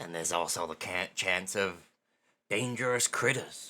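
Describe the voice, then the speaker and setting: A man's put-on character voice, very deep and low, at a moderate pace in a very clean recording with a silent background. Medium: actual play. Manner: folksy, blunt, informal.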